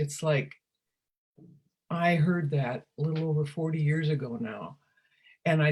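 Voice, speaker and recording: Speaking at a fairly slow pace, a woman uses a very deep, low-pitched voice that is somewhat breathy. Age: 80s+. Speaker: former teacher and speaker on wellbeing. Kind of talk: casual interview conversation.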